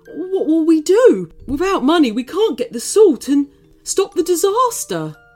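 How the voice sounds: In a put-on character voice, a woman speaks at an extremely high pitch with big pitch swings, a slightly mellow tone and a fairly slow pace, while faint music plays in the background.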